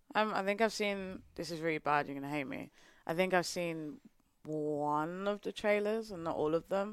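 A woman with a fairly low pitch speaks at a moderate pace in a very clean recording with a silent background. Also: ordinary pitch variation. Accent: British. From England. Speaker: marketing professional, podcast guest. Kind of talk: casual chat.

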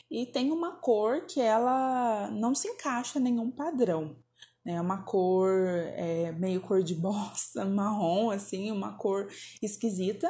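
Very slowly, a woman speaks in a fairly high, dark, mellow voice that is somewhat breathy. Her intonation is lively. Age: 30s. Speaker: podcast host. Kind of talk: personal storytelling monologue. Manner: casual, chatty.

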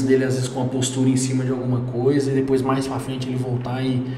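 Over noticeable background noise and audible room echo, a man talks at a medium pitch and a very fast pace. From Brazil, Goiânia. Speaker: entrepreneur. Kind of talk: casual interview.

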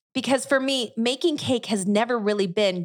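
An unremarkable speaking voice moves at a moderate pace with lively intonation. The recording is very clean, the background silent. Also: woman. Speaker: baker and podcast host. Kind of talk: solo podcast monologue.

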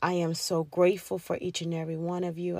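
On a very clean recording with a silent background, a woman with a fairly low pitch speaks in a monotone, flat intonation at a moderate pace. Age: 30s. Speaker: podcast host. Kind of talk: casual monologue. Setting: in a car.

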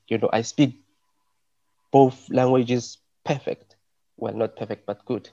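With a South African accent, a man speaks at a fairly slow pace with long, frequent pauses, his medium-pitched voice dark and mellow in tone, fairly even in intonation, and dry and close with no echo. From South Africa, Johannesburg. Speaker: arts curator and event organizer. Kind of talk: panel discussion. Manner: halting, many repetitions and fillers.

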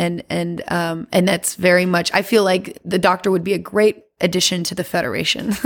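With an American accent, a woman uses a normal speaking voice at a fairly low pitch, fairly even intonation and a moderate pace in a very clean recording with a silent background. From US South, Louisiana. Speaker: singer and performer. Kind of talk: casual chat.

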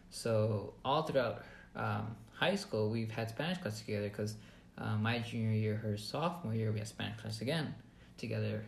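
A man speaks at a moderate pace and medium pitch, somewhat breathy, with ordinary pitch variation. There is audible room echo. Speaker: podcast co-host, database reporting worker. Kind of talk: casual chat.

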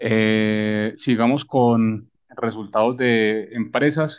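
A man is talking here. The intonation he uses is fairly even. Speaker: stock market podcast host. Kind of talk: casual chat.

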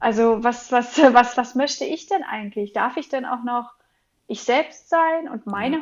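High-pitched and at a fairly slow pace, a woman speaks with ordinary pitch variation. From Berlin. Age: 30s. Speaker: parenting coach and yoga trainer. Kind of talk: interview conversation. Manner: hesitant, many filler sounds.

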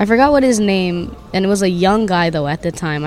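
Music plays in the background. A woman talks with a Hawaiian accent. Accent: Hawaii local English. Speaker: hip hop artist and teacher. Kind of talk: casual interview. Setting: recorded at a marketplace. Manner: animated.

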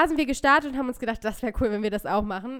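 A woman with a plain, everyday voice speaks in a fairly high pitch with lively intonation on a very clean recording with a silent background. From northern Germany, near Hannover. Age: 20s. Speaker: podcast co-host. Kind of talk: casual chat.

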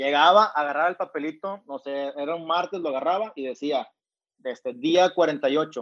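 A man with a plain, everyday voice and a fairly high pitch talks at a moderate pace with ordinary pitch variation. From Mexico, Monterrey. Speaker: entrepreneur and author. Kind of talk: interview.

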